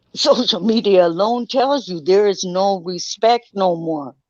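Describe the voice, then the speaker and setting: A woman talks in a normal speaking voice at a medium pitch. She goes at a fairly slow pace with lively intonation. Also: dry, close sound with no echo. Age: 60s. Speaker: guest in group discussion. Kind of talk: casual chat.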